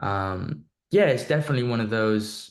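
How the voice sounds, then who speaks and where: This man speaks with a Welsh accent. The background is quiet. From North Wales. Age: young. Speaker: singer-songwriter. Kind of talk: interview answer. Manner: casual, relaxed.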